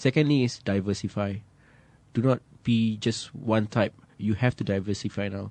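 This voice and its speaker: Here a man with a Malaysian accent speaks at a moderate pace. His pitch is fairly low and his intonation fairly even. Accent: Malaysian English, slightly British. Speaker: singer-songwriter. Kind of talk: radio interview.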